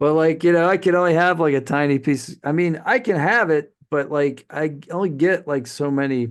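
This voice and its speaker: A man with an ordinary speaking voice talks at a moderate pace with hardly any pauses and ordinary pitch variation, over a quiet background. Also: fairly high pitch for a man. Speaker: podcast host. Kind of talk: casual chat.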